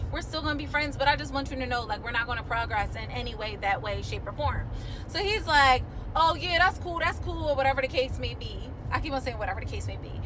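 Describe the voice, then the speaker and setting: Speech rushes by at a very fast pace. Background noise is noticeable throughout. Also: woman. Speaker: vlogger. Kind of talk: casual vlog chat. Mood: animated, amused storytelling. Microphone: phone near.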